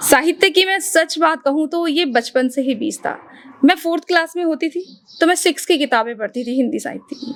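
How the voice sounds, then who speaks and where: Against noticeable background noise, a woman speaks at a moderate pace in a high pitch with ordinary pitch variation. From Uttarakhand, India. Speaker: radio anchor and voice artist. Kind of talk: podcast interview answer.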